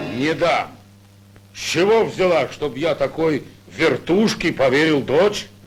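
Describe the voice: A man puts on a cartoonish character voice at a fairly high pitch, speaking fairly slowly with long, frequent pauses.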